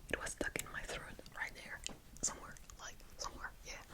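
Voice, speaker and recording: Whispering in a relaxed tone, a woman speaks over noticeable background noise. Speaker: ASMR talking creator. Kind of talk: ASMR whispered ramble, reading questions and answering. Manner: soft, relaxed, hesitant with filler words and non-native English.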